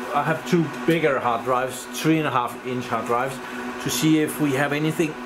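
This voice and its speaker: A man speaks with ordinary pitch variation. Noticeable background noise is present. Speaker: tech hobbyist vlogger. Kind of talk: casual tech vlog chat. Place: home room. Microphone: phone near.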